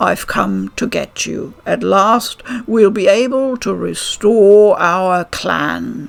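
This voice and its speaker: A put-on character voice comes out soft-spoken. The pace is very slow. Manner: soft, gentle.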